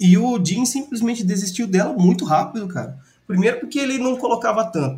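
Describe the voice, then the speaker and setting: A man talking at a fairly quick pace. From Brazil, Ribeirão Preto. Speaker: sports podcast co-host. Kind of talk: casual chat.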